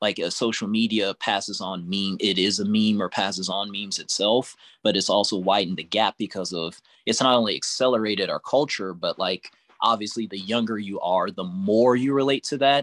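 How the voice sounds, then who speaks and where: An ordinary speaking voice comes through on a very clean recording with a silent background and a dry, close sound with no echo. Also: man, fairly low pitch for a man, fairly quick pace. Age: 30s. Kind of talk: casual group discussion.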